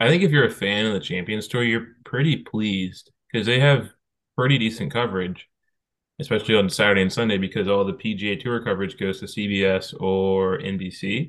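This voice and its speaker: Pitch shifts in ordinary ways throughout. The delivery comes at a fairly quick pace in an unremarkable speaking voice. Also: man, fairly low pitch for a man. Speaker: golf podcast co-host. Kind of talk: casual chat.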